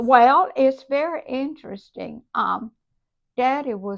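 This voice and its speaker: A woman talks with lively intonation in a Southern US accent. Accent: Southern American. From South Carolina. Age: 80s+. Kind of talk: interview answer.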